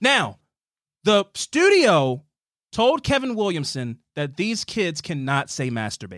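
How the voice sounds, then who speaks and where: Recorded very cleanly against a silent background with a dry, close sound and no echo, a man with a high pitch speaks at a very slow pace, his pitch swinging very widely. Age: 20s. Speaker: podcast host. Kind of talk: casual chat.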